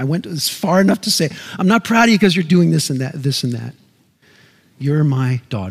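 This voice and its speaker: A somewhat breathy male voice with very wide pitch swings at a moderate pace. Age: 50s. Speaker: pastor. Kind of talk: sermon.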